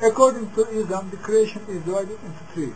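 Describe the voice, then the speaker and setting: Noticeable background noise fills the clip. A man talks over it at a fairly quick pace. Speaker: religious commentator. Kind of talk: monologue on religion and UFOs. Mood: earnest, serious. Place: home room. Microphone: webcam.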